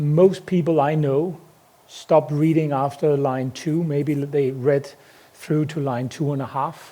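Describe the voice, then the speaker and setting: A man with a Danish accent speaks fairly slowly at a fairly high pitch. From Denmark. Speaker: company CEO. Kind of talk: conference talk. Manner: hesitant, many fillers.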